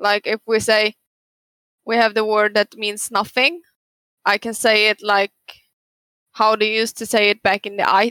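With a Swedish accent, a woman speaks at a fairly high pitch in a bright, sharp tone and monotone, flat intonation, leaving long, frequent pauses, the sound dry and close with no echo. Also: moderate pace. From northern Sweden. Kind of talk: casual chat.

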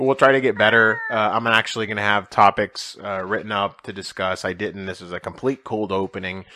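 A man with a fairly low voice talks at a fairly quick pace with hardly any pauses. His intonation is fairly even, and there is noticeable background noise. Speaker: podcast host. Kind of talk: casual chat. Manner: low energy. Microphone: new mic.

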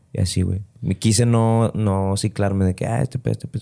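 In a very clean recording with a silent background, a man with a Mexican accent and a dark, mellow tone speaks at a fairly quick pace and fairly low pitch with fairly even intonation. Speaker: comedian. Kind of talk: casual chat.

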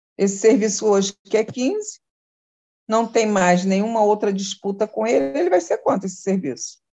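In a normal speaking voice, a woman keeps a moderate pace and medium pitch, her pitch varying in an ordinary way. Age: 60s. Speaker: social worker. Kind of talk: casual interview.

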